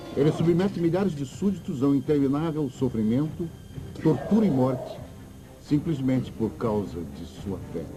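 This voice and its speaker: With music in the background, a man talks at a moderate pace and a fairly high pitch, his pitch swinging very widely. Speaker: dubbing narrator. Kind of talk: documentary narration.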